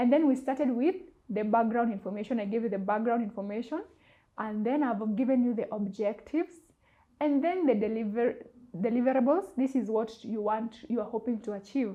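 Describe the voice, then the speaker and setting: A woman speaks at a moderate pace in a normal speaking voice. Her pitch is fairly high. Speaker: public relations officer and journalist. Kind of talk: corporate advice talk to camera.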